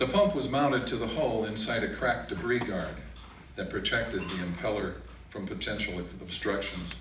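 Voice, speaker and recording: Noticeable background noise sits behind a man speaking at a moderate pace. His pitch is fairly low, with ordinary variation. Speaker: poet performer. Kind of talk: reading of a prose story. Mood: calm, measured narration. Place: stage. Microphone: camera far.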